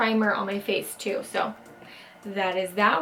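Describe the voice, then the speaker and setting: Here a woman talks in a fairly high pitch. Noticeable background noise is present. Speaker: beauty vlogger. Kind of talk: makeup tutorial. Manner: quiet.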